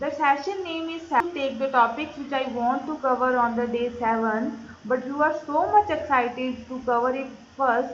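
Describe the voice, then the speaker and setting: At a moderate pace with hardly any pauses, a woman speaks in a high pitch with ordinary pitch variation, and there is audible room echo. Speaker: online course trainer. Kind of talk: live online lecture. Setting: live online class. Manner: loud.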